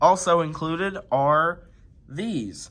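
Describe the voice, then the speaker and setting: A man speaks very slowly in a high voice, his intonation lively. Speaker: toy reviewer. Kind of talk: casual toy review to camera.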